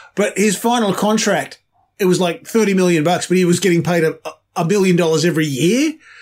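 A man with an Australian accent talks at a high pitch and a very fast pace. His loudness is very even and his pitch variation ordinary. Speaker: podcast co-host. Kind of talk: casual chat.

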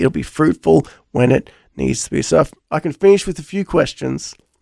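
With no echo in the dry, close sound, a man talks fairly quickly. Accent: Australian. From Australia. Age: 40s. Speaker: pastor. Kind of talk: radio interview.

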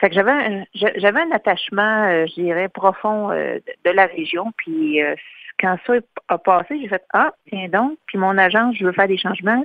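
A woman with an ordinary speaking voice, medium in pitch, with ordinary pitch variation at a fairly slow pace. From Quebec, Louiseville area. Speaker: chamber of commerce director, artist agent. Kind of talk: radio interview.

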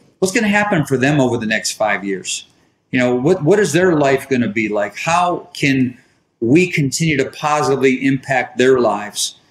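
This man has a fairly high pitch and lively intonation, speaking at a moderate pace with an American accent. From US Midwest, inner-city Detroit. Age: 60s. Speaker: business executive. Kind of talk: interview.

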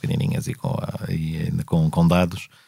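A man talks at a fairly quick pace. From Portugal, Lisbon area (Amadora). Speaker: politician and law lecturer. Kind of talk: interview conversation. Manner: hesitant, many fillers.

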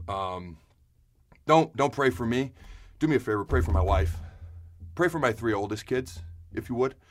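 Fairly low in pitch and somewhat breathy, a man's voice swings very widely up and down, broken by long, frequent pauses. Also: very clean recording, silent background. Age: 30s. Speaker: podcast host. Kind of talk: personal health update monologue. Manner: fast.

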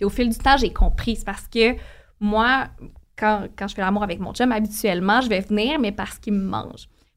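A woman speaks in an ordinary speaking voice at a fairly high pitch. Her intonation is fairly even, and her pace is moderate. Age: 20s. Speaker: podcast co-host guest. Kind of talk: casual chat.

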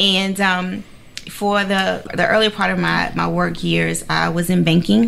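A woman speaks at a fairly slow pace with an American accent, her loudness very even against noticeable background noise. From Savannah, Georgia (US South). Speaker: executive director of a homeless family shelter nonprofit. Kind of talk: interview.

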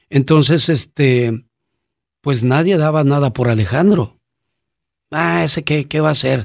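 Over a very clean recording with a silent background, a man with a Mexican accent talks at a fairly slow pace with long, frequent pauses, a fairly high pitch, lively intonation and very even loudness. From Mexico. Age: 50s. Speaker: podcast host. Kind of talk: personal storytelling.

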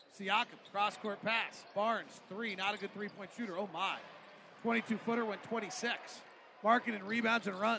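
With noticeable background noise behind him, a man speaks in an animated tone at a high pitch. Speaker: radio play-by-play announcer. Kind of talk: live play-by-play basketball commentary. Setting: arena broadcast. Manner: rapid-fire, clipped play-by-play delivery; animated, rising pitch on big plays.

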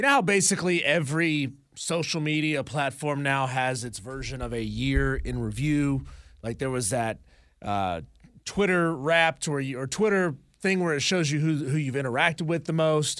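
A normal speaking voice from a man with fairly high pitch and ordinary pitch variation, at a moderate pace, in a very clean recording with a silent background. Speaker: radio host. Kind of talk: casual banter.

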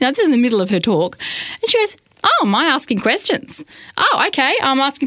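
Over noticeable background noise, a woman with a high voice speaks at a very fast pace. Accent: Australian. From Australia. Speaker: radio program director. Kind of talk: podcast interview. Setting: radio studio.

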